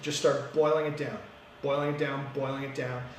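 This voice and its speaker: Audible room echo and noticeable background noise both come through. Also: man. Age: 30s. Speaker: municipal councillor. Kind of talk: casual interview. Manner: fast; energetic.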